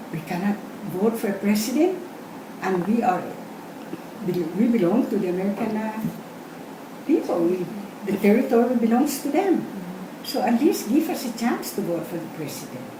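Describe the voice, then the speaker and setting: Pausing long and often, a woman speaks at a moderate pace in a fairly high voice with very wide pitch swings, over noticeable background noise and audible room echo. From Guam. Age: 70s. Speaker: oral history interviewee. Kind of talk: interview.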